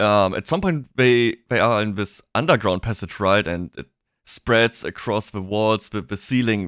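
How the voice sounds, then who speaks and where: A man's bright, sharp voice at medium pitch with a German accent, fairly slow, ordinary pitch variation, a dry, close sound with no echo and a very clean recording with a silent background. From Germany. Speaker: VTuber streamer. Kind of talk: live stream chat. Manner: halting, repeats words.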